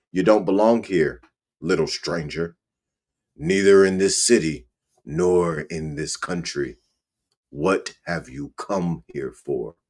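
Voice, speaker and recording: In a growling, put-on character voice, a man speaks at a very deep, low pitch and a fairly slow pace, with long, frequent pauses. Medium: read story. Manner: growling, menacing.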